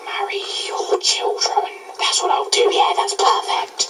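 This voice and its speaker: A man uses a put-on character voice at an extremely high pitch. He speaks at a fairly slow pace, with a clear echo. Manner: menacing, dark.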